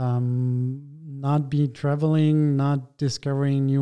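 Against a quiet background, a man with a German accent speaks in a fairly high pitch. His delivery is monotone and flat, with a dark, mellow tone. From Germany. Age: 30s. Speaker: architect and interior design lead. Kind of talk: interview. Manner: halting, many fillers.

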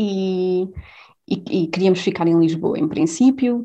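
A woman speaks at a fairly slow pace with lively intonation. Her tone is dark and mellow, and the background is quiet. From Portugal, Covilhã (interior Beira). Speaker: leukemia researcher. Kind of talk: interview. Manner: halting, many repetitions and fillers.

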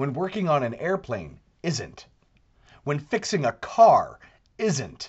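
This man speaks very slowly in a fairly high pitch with vocal fry, very wide pitch swings, and long, frequent pauses. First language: not English. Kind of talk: monologue commentary. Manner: animated.

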